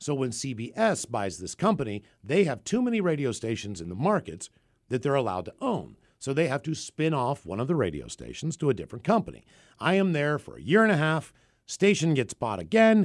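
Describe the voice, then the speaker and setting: An American accent at a fairly quick pace, with very wide pitch swings, in a very clean recording over a silent background. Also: man, fairly high pitch for a man. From West Virginia (Morgantown). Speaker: radio host, podcast co-host. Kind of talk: casual chat.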